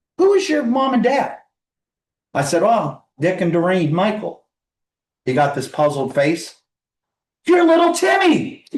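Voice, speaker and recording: A man with an American accent, at a moderate pace. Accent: northern US, noticeable to southerners. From northeast Ohio. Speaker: ham radio operator, presenter. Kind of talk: club presentation, casual talk. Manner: conversational, anecdotal.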